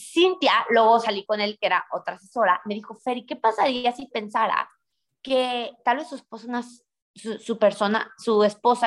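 An energetic woman's voice at a moderate pace, on a very clean recording with a silent background. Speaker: real estate entrepreneur. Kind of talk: interview. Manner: loud.

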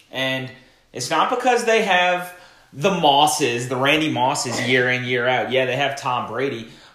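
A man with a medium pitch and lively intonation speaks at a fairly slow pace amid noticeable background noise and audible room echo. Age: 20s. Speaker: social media marketing podcast co-host. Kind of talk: casual chat.

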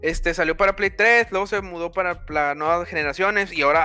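Bright and sharp, a man's high voice moves at a fairly quick pace with ordinary pitch variation, the sound dry and close with no echo on a very clean recording with a silent background. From Mexico. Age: 20s. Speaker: gaming streamer. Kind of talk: casual chat. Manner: animated.

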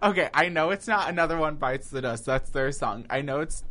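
His tone comes across bright and sharp. The man's pitch moves in an ordinary way. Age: 20s. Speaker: college student. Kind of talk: casual chat.

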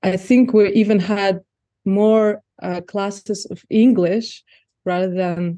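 A woman speaks at a very slow pace in a dark, mellow tone at medium pitch. Her intonation stays fairly even, and the background is quiet. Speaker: former journalist and NGO worker. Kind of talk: casual interview.

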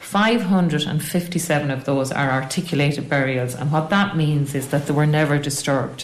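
Over noticeable background noise, a woman with an Irish Midlands accent and a very deep, low pitch talks fairly slowly with hardly any pauses, very even loudness and ordinary pitch variation. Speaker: local historian and tour guide. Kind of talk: interview.

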